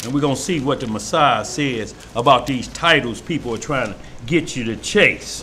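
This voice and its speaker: Heard with noticeable background noise and audible room echo, a man with a Mississippi accent speaks at a moderate pace, medium pitch and ordinary pitch variation. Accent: Starkville, Mississippi. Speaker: preacher. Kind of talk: sermon. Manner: animated.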